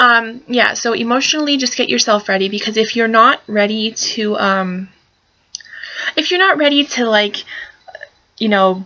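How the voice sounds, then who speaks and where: A woman mumbles at a moderate pace with fairly high pitch. Long pauses come often. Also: ordinary pitch variation. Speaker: pinup fashion vlogger. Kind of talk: casual tutorial vlog. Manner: mumbling; hesitant, many fillers. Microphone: laptop camera mic, poor quality.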